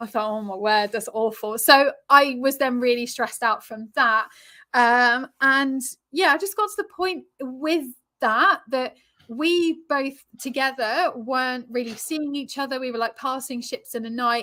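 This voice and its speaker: In an English accent, a woman projects a raised, high-pitched voice with a bright, sharp tone, speaking fairly slowly with ordinary pitch variation, on a very clean recording with a silent background. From England. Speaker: relationship coach and yoga teacher. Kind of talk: interview.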